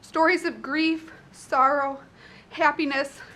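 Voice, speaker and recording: A woman with a northern US accent uses a raised, projected voice at a high pitch. Her tone is bright and sharp, her intonation is monotone and flat, and her pace is very slow. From Chicago, US Midwest. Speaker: resident giving public comment. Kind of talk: public testimony. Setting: public meeting at podium.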